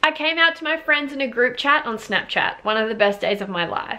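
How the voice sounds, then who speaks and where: Against a quiet background, a woman with an Australian accent speaks in a bright, sharp tone with lively intonation. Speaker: YouTuber. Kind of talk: casual reaction video, reading viewer stories aloud. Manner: animated. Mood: warm, upbeat. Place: home room. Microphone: camera far.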